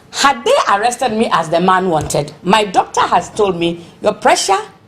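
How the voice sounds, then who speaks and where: Over noticeable background noise, a woman with a medium pitch speaks in an animated tone with lively intonation. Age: 60s. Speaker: protester. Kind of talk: interview.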